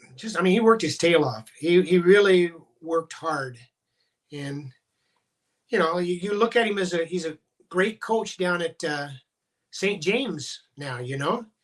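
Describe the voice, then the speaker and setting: With a Midwestern US accent, a man speaks at a moderate pace in a high pitch. His pitch varies in an ordinary way, and he leaves long, frequent pauses. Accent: US Midwest. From Iowa. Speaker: former high school wrestling coach. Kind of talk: podcast interview. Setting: video call.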